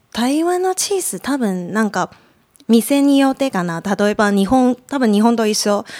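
A woman with a Mandarin Chinese accent speaks at a moderate pace in a fairly high voice with very wide pitch swings, the sound dry and close with no echo. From Taiwan, Taipei. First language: Mandarin Chinese (speaking Japanese). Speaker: podcast guest. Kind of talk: casual chat. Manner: halting, many fillers.

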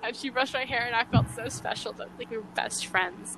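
A woman with an unremarkable speaking voice talks at a fairly quick pace, her fairly high pitch varying in an ordinary way. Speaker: podcast host. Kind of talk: casual chat. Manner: talkative.

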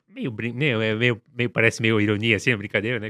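A man's fairly low voice has a bright, sharp tone. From Brazil, São Paulo (Grajaú). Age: 40s. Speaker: graffiti artist. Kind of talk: interview. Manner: halting.

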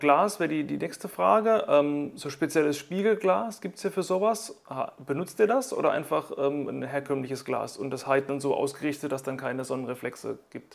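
Using an ordinary speaking voice at a fairly high pitch, a man talks at a moderate pace with lively intonation and hardly any pauses. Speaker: podcast host. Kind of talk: interview; scripted podcast outro.

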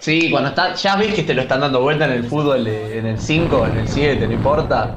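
A man's fairly high-pitched voice with lively intonation, a moderate pace and hardly any pauses, amid noticeable background noise and audible room echo. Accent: Rioplatense. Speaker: football stream co-host. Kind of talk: casual chat. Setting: online group call.

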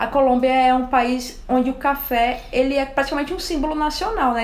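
With noticeable background noise behind her, a woman talks at a fairly quick pace in a high pitch with fairly even intonation. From Alagoas, Brazilian Northeast. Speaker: coffee enthusiast. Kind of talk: casual chat.

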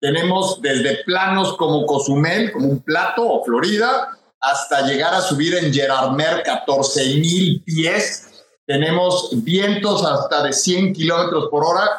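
A man's high-pitched voice at a very slow pace, with very even loudness. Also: ordinary pitch variation. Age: 60s. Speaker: endurance athlete and speaker. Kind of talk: interview.

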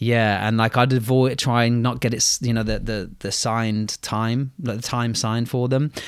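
A man speaks at medium pitch and a moderate pace in monotone, flat intonation. The recording is very clean with a silent background. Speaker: teacher podcast host. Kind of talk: casual chat.

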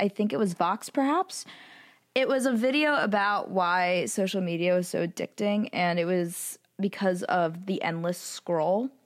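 A woman with a normal speaking voice talks at a fairly slow pace and medium pitch, with ordinary pitch variation and very even loudness, in a dry, close sound with no echo on a very clean recording with a silent background. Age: young. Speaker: student podcast co-host. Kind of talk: casual chat.

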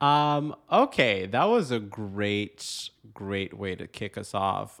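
A man speaks in a fairly low register with lively intonation, in an unremarkable speaking voice. The recording is very clean, with a silent background. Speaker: podcast host. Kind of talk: casual comedic chat.

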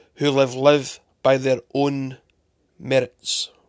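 A man speaks in a fairly high pitch at a very slow pace. His intonation is monotone and flat, and the sound is dry and close with no echo. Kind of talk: spoken word poem. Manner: earnest, rhetorical questions, preachy; rhythmic, rhyming cadence.

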